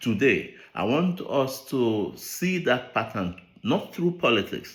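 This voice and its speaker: A man with a Nigerian accent speaks at a very slow pace and medium pitch, with very wide pitch swings. The recording is very clean, with a silent background. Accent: Nigerian Igbo English. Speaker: behavioral scientist. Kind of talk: speech read aloud.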